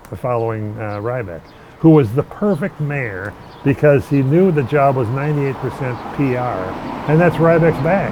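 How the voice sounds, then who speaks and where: With an American accent, a man speaks at a moderate pace and with lively intonation over noticeable background noise. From Minneapolis, Minnesota. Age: 60s. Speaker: longtime local resident. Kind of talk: casual interview conversation. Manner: halting, many false starts.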